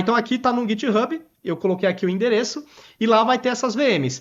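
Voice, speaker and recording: The speaker keeps a fairly quick pace. The background is quiet. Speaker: IT solutions presenter. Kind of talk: webinar product demo. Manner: fast.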